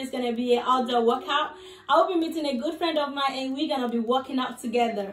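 A woman speaks at a very fast pace. Light background noise and audible room echo come through. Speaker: fitness vlogger. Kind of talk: casual vlog chat. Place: home room. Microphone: phone near.

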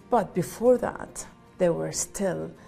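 A woman is speaking. Faint music plays in the background. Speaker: interviewee. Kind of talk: interview answer. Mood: earnest, composed. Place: home room. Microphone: lapel.

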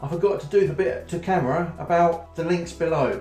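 A man speaks at a moderate pace. Room echo is audible, with faint music playing behind him. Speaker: vlogger. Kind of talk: casual vlog chat. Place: home room. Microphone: phone near.

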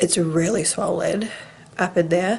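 Woman speaking at a fairly slow pace over light background noise. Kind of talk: casual vlog chat. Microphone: phone near.

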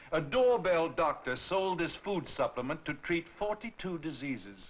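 Very wide pitch swings at a fairly slow pace, with faint music in the background. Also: man. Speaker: PSA presenter. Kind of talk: public service announcement. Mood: serious, warning. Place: studio. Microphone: old recording.

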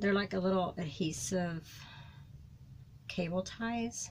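A woman's fairly low voice, slow and with fairly even intonation, amid audible room echo

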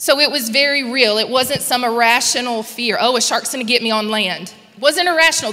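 At a high pitch, a woman talks with ordinary pitch variation. She moves at a fairly quick pace. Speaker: guest church speaker. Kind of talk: prayer and sermon. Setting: church with live and online audience. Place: church. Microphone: handheld.

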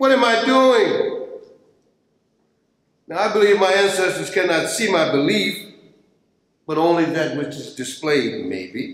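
Lively intonation and a fairly bright tone come at a fairly slow pace with long, frequent pauses. Strong room echo surrounds the voice. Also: man, high pitch for a man.

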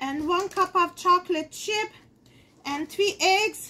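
A woman's extremely high, bright, sharp voice at a slow pace, with ordinary pitch variation

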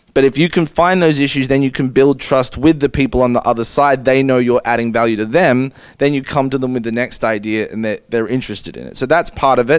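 A man speaks with an Australian accent at a very fast pace, with hardly any pauses. His pitch variation is ordinary, and the background is quiet. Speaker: law professor, panelist. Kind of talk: panel discussion; panel presentation. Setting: conference room with audience. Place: meeting room. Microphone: podium.

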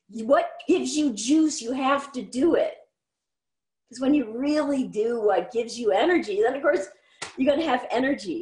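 A woman speaks in a high voice. The background is quiet, with audible room echo. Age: 50s. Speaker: artist and musician; interview guest. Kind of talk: interview. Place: home room. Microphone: video call.

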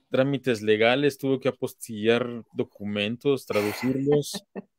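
Against a quiet background with dry sound and no echo, a man with a medium pitch speaks at a fairly slow pace in a plain, everyday voice. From Mexico. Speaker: interviewer, online talk series host. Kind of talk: interview. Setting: live stream. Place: home room. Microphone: webcam.

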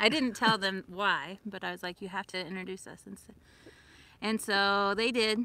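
Her tone is bright and sharp. This woman talks in a flat monotone. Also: dry sound with no echo. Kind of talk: casual livestream storytelling. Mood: amused, nostalgic. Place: open country. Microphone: phone near.

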